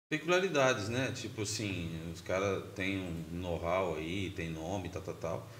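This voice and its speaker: With audible room echo, a man talks at a moderate pace in a very deep, low pitch. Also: ordinary pitch variation. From São Paulo state, Brazil. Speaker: grindcore band musician. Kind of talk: casual interview chat. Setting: podcast studio.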